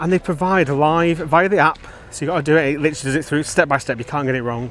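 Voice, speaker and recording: A man speaks with a Lancashire accent. Noticeable background noise sits behind him. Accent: Wigan. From northern England, Wigan. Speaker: theme park vlogger. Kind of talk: walking vlog narration. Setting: outdoors at a theme park.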